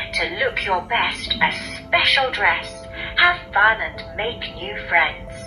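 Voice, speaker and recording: Very slowly, a woman talks as music plays behind her. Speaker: audio book narrator. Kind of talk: children's book read-aloud, rhyming fairy tale narration. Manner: expressive, lively, rhythmic.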